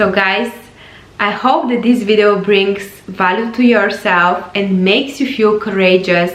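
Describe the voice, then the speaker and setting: A woman with a non-native accent speaks at a fairly slow pace and medium pitch, with ordinary pitch variation. Audible room echo and noticeable background noise come through. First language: not English. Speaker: life coach. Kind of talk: motivational vlog talk.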